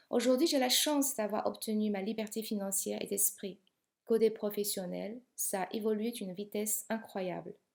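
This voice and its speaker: A woman with a non-native accent, fairly high pitch, fairly even intonation and a moderate pace. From outside Europe, immigrated to France at 28. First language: not French (speaking French). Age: 50s. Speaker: business coach. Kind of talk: sales pitch.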